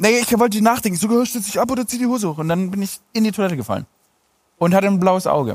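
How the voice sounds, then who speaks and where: A man talking very fast at a high pitch. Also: ordinary pitch variation. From Stuttgart, Germany. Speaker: comedian and TV presenter. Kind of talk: casual chat.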